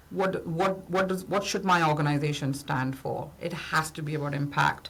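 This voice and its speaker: A woman is speaking. Her voice carries audible room echo. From India. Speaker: business founder and consultant. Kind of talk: podcast interview.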